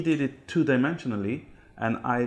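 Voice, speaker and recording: A man's medium-pitched voice against a quiet background. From Israel. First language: Hebrew. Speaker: typographer and ketubah artist. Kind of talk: interview. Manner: halting, many fillers.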